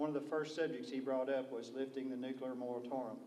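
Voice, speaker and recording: Over noticeable background noise and audible room echo, a man talks at a very fast pace in a Kentucky accent. His intonation is monotone and flat at a medium pitch. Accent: southern US (Kentucky). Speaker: state legislator. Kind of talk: panel discussion. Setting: public briefing with audience. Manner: soft-spoken.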